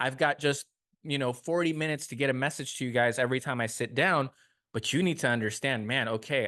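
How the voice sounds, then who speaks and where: Over a quiet background, a man speaks at medium pitch with ordinary pitch variation. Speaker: podcast host and personal trainer gym owner. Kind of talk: solo podcast monologue. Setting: personal training gym, not usual studio. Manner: fast.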